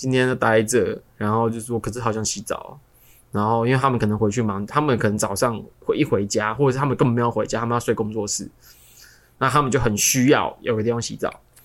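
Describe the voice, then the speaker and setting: This man speaks with a Taiwanese accent. His pace is fairly quick. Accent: Taiwanese Mandarin. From Taiwan, Kaohsiung. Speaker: podcast co-host. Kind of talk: casual chat.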